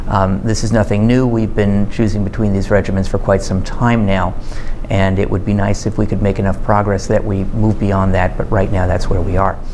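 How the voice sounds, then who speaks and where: Over light background noise, a man speaks fairly quickly in a flat monotone, his loudness very even. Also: fairly low pitch for a man. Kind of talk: interview answer.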